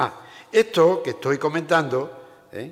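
A man in an Andalusian accent speaks with very wide pitch swings. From Andalusia, Seville province. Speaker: provincial council president, politician. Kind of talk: formal speech. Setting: stage with audience.

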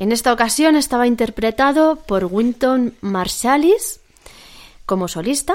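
Speaking at a fairly slow pace, a woman uses a high voice with lively intonation. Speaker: classical music radio co-host. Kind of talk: radio presenting, scripted and casual.

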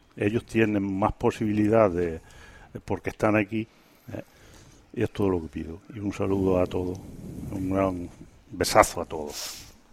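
Long, frequent pauses break up speech that keeps a moderate pace and fairly even intonation. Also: man, fairly low pitch for a man. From Quintana de la Serena, Extremadura. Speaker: emigrant association representative. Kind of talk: radio interview. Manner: halting.

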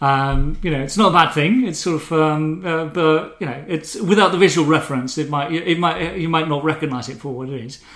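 This man has an ordinary speaking voice, fairly high in pitch with ordinary variation, moving at a fairly quick pace with big swings in loudness. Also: hardly any pauses. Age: middle-aged. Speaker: ebook developer. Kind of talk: casual chat. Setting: home kitchen.

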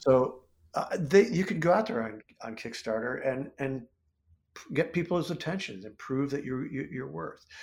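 This man has a fairly high pitch and vocal fry. He speaks at a moderate pace with very wide pitch swings. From US Midwest, central Ohio. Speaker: comic book writer and illustrator. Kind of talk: interview conversation.

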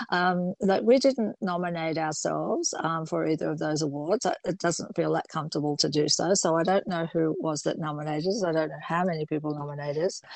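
A woman talks with an unremarkable speaking voice, pitched fairly low, with ordinary pitch variation. Her pace is fairly quick, with hardly any pauses. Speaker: fashion designer. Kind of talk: interview.

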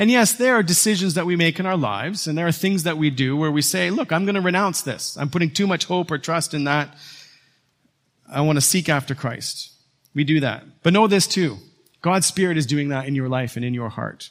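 Fairly high in pitch with lively intonation, a man with a plain, everyday voice is heard on a very clean recording with a silent background. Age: 40s. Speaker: pastor. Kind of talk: sermon. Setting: church.

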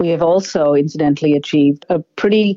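This woman speaks with an Australian accent. Her pitch is very deep and low. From Zambia, then Australia from childhood. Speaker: politician and physician. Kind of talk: interview. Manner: formal.

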